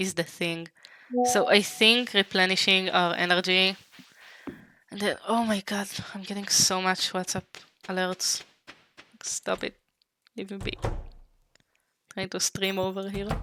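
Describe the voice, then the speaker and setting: A woman speaks with an Israeli accent at a medium pitch, in a monotone, flat intonation and at a fairly slow pace. Her long pauses come often, and the sound is dry and close with no echo. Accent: Hebrew. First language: Hebrew. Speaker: vtuber streamer. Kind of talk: gaming livestream chat. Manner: halting.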